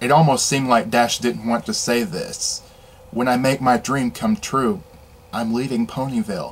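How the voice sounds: Throughout the recording, a natural reading voice can be heard.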